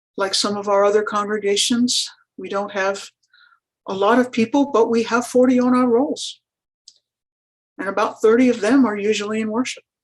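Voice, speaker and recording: The speaker keeps a moderate pace and fairly even intonation, broken by long, frequent pauses. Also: woman, fairly high pitch for a woman. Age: 60s. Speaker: rural pastor. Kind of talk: panel presentation. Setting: webinar.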